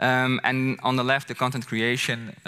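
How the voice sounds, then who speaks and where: A man speaks with a strong Dutch accent at a fairly quick pace. His tone is bright and sharp. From Netherlands. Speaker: content creator. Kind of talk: conference presentation. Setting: stage with audience. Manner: casual. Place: stage. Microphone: headset.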